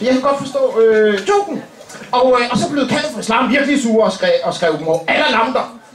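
Lively intonation comes through over light background noise and audible room echo. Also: man. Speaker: comedian. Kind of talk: stand-up comedy roast. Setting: stage with audience. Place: stage. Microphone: camera far.

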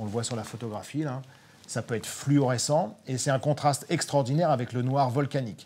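The delivery moves at a moderate pace. Its tone is dark and mellow. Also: man. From Normandy, Cotentin; Normandy. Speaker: nature photographer; guest. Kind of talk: live online talk. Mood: enthusiastic, animated storytelling. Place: studio. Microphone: lapel.

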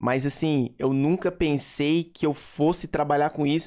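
A fairly high male voice at a moderate pace against a quiet background. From Brazil. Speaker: gaming YouTuber. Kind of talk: casual vlog talk to viewers. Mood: relaxed, reflective. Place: home room. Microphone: studio mic.

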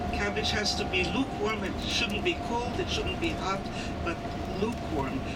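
The speaker has a German accent. Loud background noise fills the recording. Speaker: tour guide. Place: bus. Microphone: pa.

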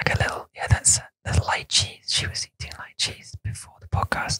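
The speaker is whispering. The pace is fairly quick, with hardly any pauses. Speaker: podcast host. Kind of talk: bilingual language podcast. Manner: whispered.

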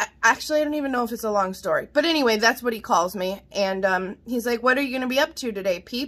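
A high-pitched woman speaks very fast with hardly any pauses. Her tone is animated and her intonation lively. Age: 40s. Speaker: vlogger, mother; vlogger. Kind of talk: casual vlog, haul show-and-tell. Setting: home kitchen. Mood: cheerful, chatty. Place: kitchen. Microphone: phone near.

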